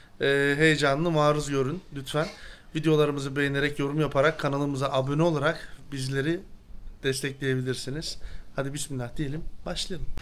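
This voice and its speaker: Fairly quick pace and monotone, flat intonation from a man at a fairly high pitch. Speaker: vlogger and interpreter. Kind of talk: vlog interview.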